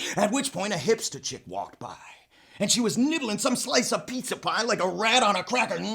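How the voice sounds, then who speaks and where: Over noticeable background noise, a man with a high voice talks at a fairly quick pace with ordinary pitch variation. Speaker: storyteller. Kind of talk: tall tale narration.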